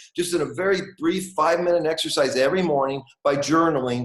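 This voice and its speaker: In an American accent, a man speaks at a fairly quick pace with ordinary pitch variation. He has an ordinary speaking voice, fairly high in pitch. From US. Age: 60s. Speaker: author and manifestation teacher. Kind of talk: interview.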